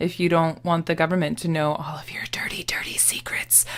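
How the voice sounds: A put-on character voice, raspy and middle-pitched, delivers its lines in a flat monotone at a fairly quick pace. Light background noise sits underneath.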